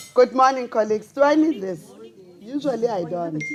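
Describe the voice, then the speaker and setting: Speech proceeds at a moderate pace. There is noticeable background noise. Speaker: invited speaker addressing colleagues; educator. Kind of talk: formal address to colleagues. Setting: small conference room, microphone.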